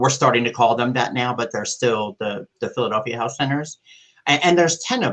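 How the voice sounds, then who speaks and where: A man at a medium pitch with ordinary pitch variation and a fairly quick pace. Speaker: public health care coordinator. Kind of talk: panel discussion. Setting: live online panel. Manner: loud.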